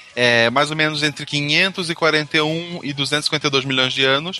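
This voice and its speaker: Speaking at a very slow pace, a man with a fairly high pitch and ordinary pitch variation is heard over noticeable background noise. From Santa Catarina, Brazil (Gaspar). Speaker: science podcast co-host. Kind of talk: casual chat.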